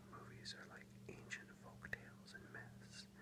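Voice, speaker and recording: A whisper at a moderate pace, noticeable background noise behind it. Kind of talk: ASMR soft-spoken book reading. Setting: close-mic ASMR recording with page-turning sounds. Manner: soft-spoken, whispered.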